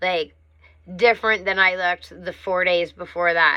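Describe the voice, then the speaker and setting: A woman's fairly low, bright, sharp voice at a moderate pace with fairly even intonation against a quiet background. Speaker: vlogger in drug withdrawal. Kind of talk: personal vlog monologue. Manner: slurring when tired.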